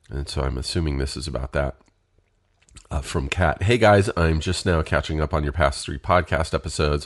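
A man's very deep, low pitch with vocal fry, a fairly quick pace and ordinary pitch variation. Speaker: podcast host. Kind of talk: casual solo podcast monologue.

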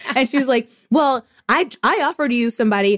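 A woman with an American accent and an unremarkable speaking voice, fairly high-pitched with lively intonation, in a dry, close sound with no echo. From US Midwest, Indianapolis, Indiana. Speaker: podcaster. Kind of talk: casual chat.

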